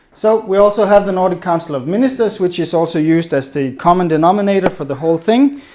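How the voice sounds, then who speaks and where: Man with a Danish accent, high-pitched, lively in intonation, at a very fast pace. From Denmark. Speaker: policy advisor. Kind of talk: conference presentation.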